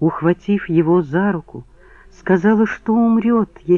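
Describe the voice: This is plain reading aloud, and the pitch moves up and down in an ordinary way.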